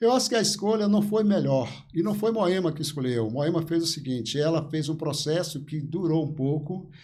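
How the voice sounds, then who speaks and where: With audible room echo around him, a man with a fairly high pitch and a dark, mellow tone speaks at a moderate pace with lively intonation. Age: 70s. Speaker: local politician. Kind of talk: interview.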